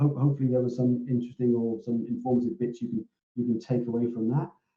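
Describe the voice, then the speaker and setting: A man with a British accent speaks quietly. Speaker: operations director hosting a company webinar. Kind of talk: webinar Q&A. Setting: online webinar. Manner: hesitant, many repetitions and fillers; quiet, hard to hear.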